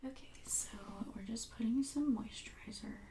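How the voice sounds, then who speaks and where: There is noticeable background noise as a woman speaks in a fairly high voice. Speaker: makeup artist friend. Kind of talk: makeup tutorial explanation.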